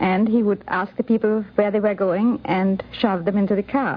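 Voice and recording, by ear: A woman talks at a fairly slow pace. Her intonation stays fairly even.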